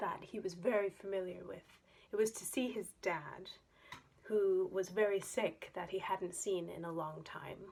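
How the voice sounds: The speaker uses a natural reading voice. That is all there is to it: a natural reading voice.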